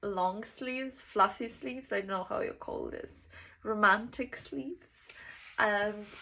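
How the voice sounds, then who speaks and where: At a fairly slow pace, a woman talks with a bright, sharp tone, lively intonation and a fairly high pitch. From Serbia. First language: Serbian. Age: 20s. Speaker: self-development vlogger. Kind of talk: casual monologue. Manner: halting.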